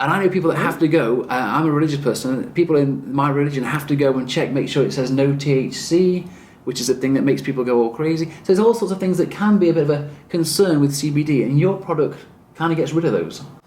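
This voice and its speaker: Very fast speech with an English accent. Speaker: chiropractor and video host. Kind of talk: interview.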